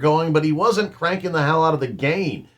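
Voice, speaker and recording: A man speaks with a bright, sharp tone. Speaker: musician reacting to videos. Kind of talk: reaction commentary.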